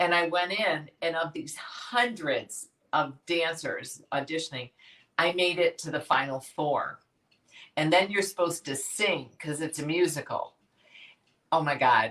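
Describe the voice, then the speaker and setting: A woman with a Chicago accent speaks at a fairly slow pace in a fairly low pitch, with ordinary pitch variation. Her tone is animated. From Chicago, US Midwest. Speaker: fitness education company founder. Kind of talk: interview. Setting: live video stream.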